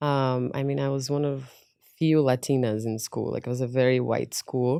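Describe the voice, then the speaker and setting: A woman's very deep, low voice with a Portuguese accent, dark and mellow in tone, monotone and flat at a moderate pace, on a very clean recording with a silent background. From Brazil, Minas Gerais, small town; moved to US at 14. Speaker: fashion and beauty influencer, entrepreneur. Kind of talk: podcast interview, personal story.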